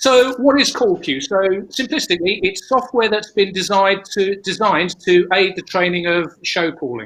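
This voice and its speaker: Speaking with a British accent, a man with a high pitch keeps a moderate pace and lively intonation, leaving hardly any pauses. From United Kingdom. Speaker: stage management educator. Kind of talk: conference presentation. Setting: online symposium. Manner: halting, with frequent repetitions.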